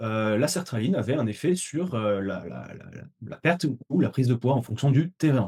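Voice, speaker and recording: A man's somewhat breathy, dark and mellow voice at a medium pitch, with lively intonation. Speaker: dietitian and webinar trainer. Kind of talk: webinar lecture. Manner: fast; hesitant, many fillers.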